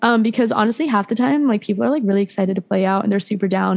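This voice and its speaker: Talking very fast in an American accent with ordinary pitch variation, the speaker is heard over noticeable background noise. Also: woman. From West Virginia, Beckley. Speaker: country rock singer-songwriter. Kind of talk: casual interview. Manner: fast, filler-heavy (like, um).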